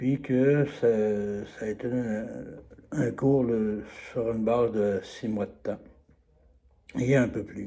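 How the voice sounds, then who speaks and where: The tone is dark and mellow, with fairly even intonation. The pace is very slow. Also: man. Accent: Quebec. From Quebec, Trois-Rivières. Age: 70s. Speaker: course participant giving a testimonial. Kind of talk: testimonial. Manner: halting, many hesitations.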